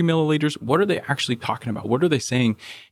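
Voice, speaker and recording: A man's medium-pitched voice with vocal fry and an American accent. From Oklahoma City. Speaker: business executive. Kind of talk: interview.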